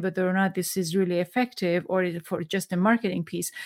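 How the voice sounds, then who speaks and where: A woman speaks at a fairly quick pace. The sound is dry and close, with no echo. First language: Farsi. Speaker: podcast host. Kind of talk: interview. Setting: video call. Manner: halting.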